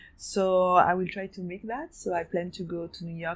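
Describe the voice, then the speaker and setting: A French accent at a moderate pace. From France, raised in Hong Kong from 15. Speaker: fashion designer and gallery owner. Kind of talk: interview. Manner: halting, many fillers.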